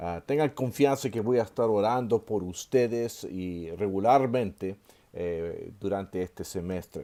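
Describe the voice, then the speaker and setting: With ordinary pitch variation, a man speaks in a fairly low pitch and a dark, mellow tone. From Chile. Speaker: seminary professor. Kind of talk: online lecture. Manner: hesitant with many fillers.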